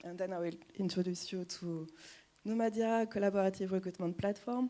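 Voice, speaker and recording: With a French accent, this voice has a dark, mellow tone and fairly even intonation at a fairly quick pace. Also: woman. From France. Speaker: recruiter. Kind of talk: presentation talk.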